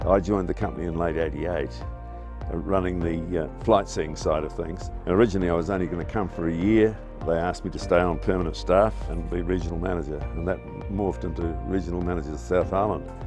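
Over clear background music, a man with a New Zealand accent speaks at a very fast pace in a very deep, low pitch, with a dry sound and no echo. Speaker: former ski instructor and tourism manager. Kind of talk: reminiscing interview answer. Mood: warm, nostalgic, good-humoured. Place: garden.

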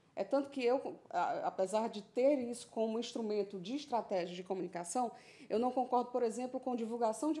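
A woman speaks at a fairly high pitch in a dark, mellow tone. Her pace is moderate and her pitch varies in an ordinary way. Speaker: guest. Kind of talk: televised panel debate. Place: studio. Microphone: studio mic.

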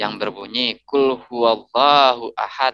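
The man's tone is bright and sharp, and the sound is dry with no echo. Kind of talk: religious discussion. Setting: video call. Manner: polite. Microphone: video call.

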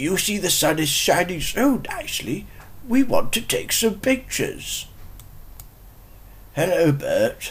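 A put-on character voice, fairly high in pitch and fairly slow, with long, frequent pauses and light background noise.

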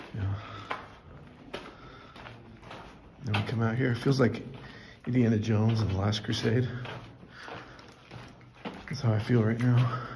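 A man talking in a monotone, flat intonation at a moderate pace, with noticeable background noise. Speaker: travel vlogger. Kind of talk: casual vlog chat. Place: tunnel cave. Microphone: phone near.

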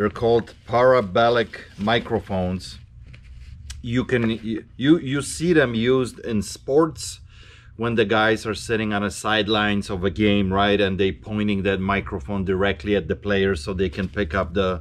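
A man speaks in a plain, everyday voice at a fairly low pitch. His pace is fairly slow, with ordinary pitch variation. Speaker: reseller shop owner. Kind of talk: casual vlog chat. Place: shop. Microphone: camera far.

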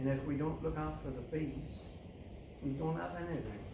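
Through audible room echo, a man with a fairly high voice talks at a moderate pace with fairly even intonation.

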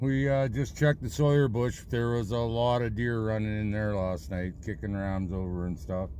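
With a dark, mellow tone and lively intonation, a man talks at a fairly slow pace, the sound dry with no echo and light background noise behind him. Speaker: trapper vlogger. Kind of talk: casual vlog chat. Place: car. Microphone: phone near.

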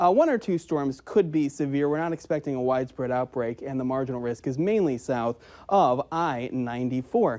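A man with an unremarkable speaking voice talks at a moderate pace in an American accent. His intonation is lively, and the background is quiet. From Upper Midwest US. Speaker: TV meteorologist. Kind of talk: weather forecast. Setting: TV studio. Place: studio.

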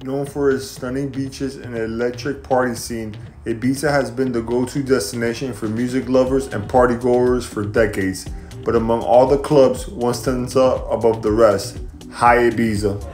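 A man talks at a moderate pace with fairly even intonation while faint music plays in the background. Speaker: travel vlogger. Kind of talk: casual vlog chat. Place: street. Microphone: phone near.

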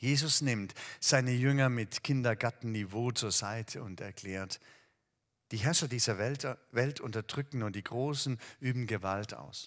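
Fairly slow male speech against a quiet background. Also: ordinary pitch variation. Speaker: preacher. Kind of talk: sermon. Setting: empty hall, recorded video. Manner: warm, direct address to the listener. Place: church. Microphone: headset.

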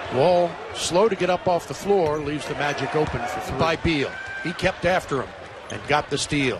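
Recorded dry with no echo but with noticeable background noise, a man talks at a high pitch with ordinary pitch variation. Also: moderate pace. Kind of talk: live sports commentary. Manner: excitable, punchy exclamations. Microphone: headset.

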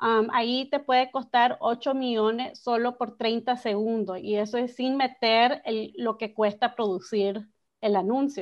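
A woman with a fairly high pitch speaks at a very slow pace, with hardly any pauses. Her intonation is fairly even, and the background is quiet. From Miami, Nicaraguan family. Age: young. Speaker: advertising executive; guest. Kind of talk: interview; interview answer. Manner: halting, many fillers. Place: home room. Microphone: video call.

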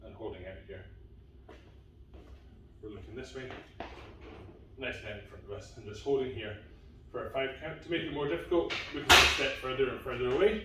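A man is speaking over loud background noise. Room echo is audible. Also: fairly quick pace. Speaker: fitness coach. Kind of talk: tutorial. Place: gym.

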